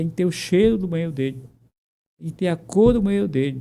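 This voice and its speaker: A man speaks with a high pitch. His pitch rises and falls in an ordinary way. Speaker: physician. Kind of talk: interview. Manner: fast; animated.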